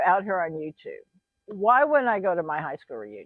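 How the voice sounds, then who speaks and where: Talking at a fairly quick pace, a woman with a medium pitch moves through very wide pitch swings. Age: 60s. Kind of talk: casual talk to camera.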